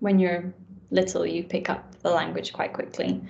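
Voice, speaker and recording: The woman's voice sits at medium pitch. Vocal fry runs through it. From Scotland, east coast near Edinburgh. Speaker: doctor. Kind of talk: casual interview chat.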